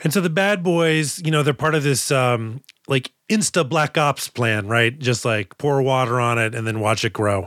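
In a plain, everyday voice with an American accent, the speaker moves at a moderate pace with hardly any pauses, very even loudness and lively intonation, on a very clean recording with a silent background. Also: man, medium pitch for a man, dry, close sound with no echo. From Boston. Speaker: podcast host and comedian. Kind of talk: casual chat.

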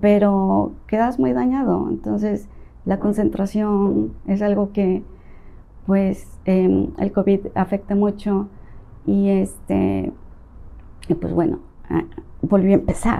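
A woman speaking at a very slow pace, with long, frequent pauses. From Mexico, Veracruz and Tabasco. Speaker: real estate agent. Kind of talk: interview.

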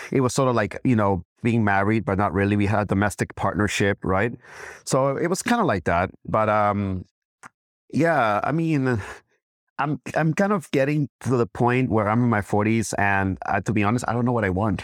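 At a moderate pace, a man speaks at a fairly low pitch with ordinary pitch variation and very even loudness, in a dry, close sound with no echo on a very clean recording with a silent background. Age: 40s. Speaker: guest. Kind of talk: casual chat. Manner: halting.

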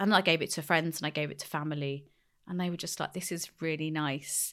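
Woman with a London accent on a very clean recording with a silent background. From West London, England. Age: 30s. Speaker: skincare brand founder and psychotherapist. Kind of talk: interview conversation. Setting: studio.

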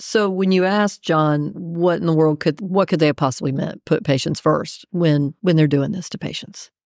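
A normal speaking voice carries an American accent. Its intonation is lively and its pace moderate. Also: woman. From Texas, raised partly in Raleigh NC. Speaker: executive director of state employees association. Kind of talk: casual interview chat.

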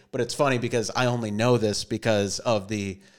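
Heard in a very clean recording with a silent background, a man talks at a medium pitch and moderate pace. He has an ordinary speaking voice with ordinary pitch variation. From Minnesota. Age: 30s. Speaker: actor and comedian. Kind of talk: casual chat.

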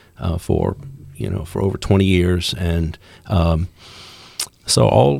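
Over noticeable background noise, a man talks at a very slow pace with long, frequent pauses. His very deep, low voice carries lively intonation. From Louisiana, Baton Rouge. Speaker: campus police officer, former federal probation officer. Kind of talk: interview, faith testimony. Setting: studio.

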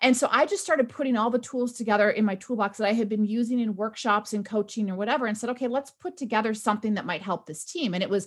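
A very fast pace with ordinary pitch variation. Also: woman. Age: 40s. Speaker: author and workplace culture consultant. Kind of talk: interview conversation.

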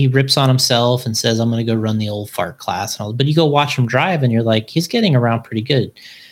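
In a very clean recording with a silent background, a man speaks at a moderate pace and medium pitch, somewhat breathy, with ordinary pitch variation. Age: 40s. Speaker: RC car racing company owner. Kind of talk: casual chat. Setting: live-streamed video podcast recorded at work.

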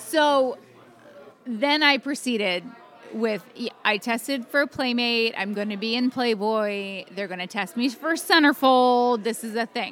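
A woman with an American accent speaks at a fairly slow pace in a normal speaking voice. Her pitch is fairly high, with ordinary pitch variation. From Atlantic City, New Jersey. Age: 40s. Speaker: former model. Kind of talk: casual chat. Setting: fan convention.

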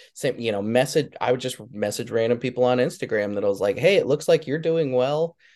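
Against a quiet background, a man speaks in an ordinary speaking voice at a medium pitch. He goes at a fairly quick pace with hardly any pauses and ordinary pitch variation. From Wyoming, US. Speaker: guitar tech. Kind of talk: casual interview chat.

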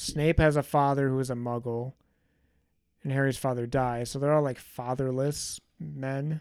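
A man talks at a moderate pace. His intonation is flat and monotone. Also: medium pitch for a man. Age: 30s. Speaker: yearly review co-host, Harry Potter fan. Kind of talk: casual chat.

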